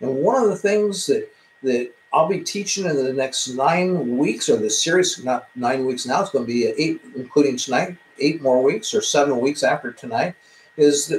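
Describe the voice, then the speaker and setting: Over noticeable background noise, a man speaks at a fairly high pitch and a moderate pace with lively intonation. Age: 60s. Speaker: self-improvement teacher. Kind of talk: live-streamed talk. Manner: halting, with many fillers.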